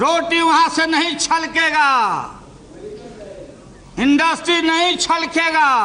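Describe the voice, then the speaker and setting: Raised, projected male voice with a Bihari accent amid noticeable background noise. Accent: Bihari Hindi. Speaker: politician. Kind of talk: parliamentary speech. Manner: humorous, witty.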